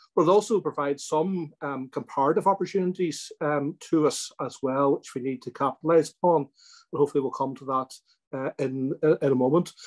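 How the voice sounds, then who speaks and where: Speaking at a fairly quick pace with hardly any pauses, a man with a Northern Irish accent has a fairly high pitch and ordinary pitch variation. The background is quiet. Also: big swings in loudness. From Northern Ireland. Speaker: politician. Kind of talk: webinar address. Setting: webinar. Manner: halting, many ums and ers. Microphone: video call.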